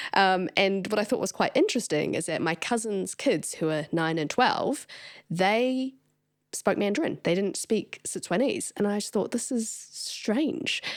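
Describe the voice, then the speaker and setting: At a fairly slow pace, a woman of medium pitch speaks with a New Zealand accent and lively intonation on a very clean recording with a silent background. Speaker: podcast host. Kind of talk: interview. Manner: loud, expressive.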